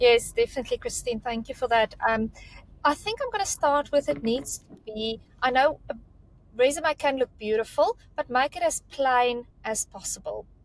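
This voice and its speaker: Speaking at a moderate pace in a South African accent, a woman uses a high pitch with ordinary variation, and the sound is dry and close with no echo. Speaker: recruitment career mentor. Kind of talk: panel discussion on resume advice. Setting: video call.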